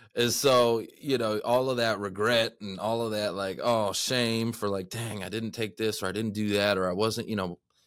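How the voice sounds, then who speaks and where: On a very clean recording with a silent background, a man with a Texan accent speaks at a medium pitch and a moderate pace. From Texas. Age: 30s. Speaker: podcast host. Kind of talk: casual interview. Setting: studio. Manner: energetic.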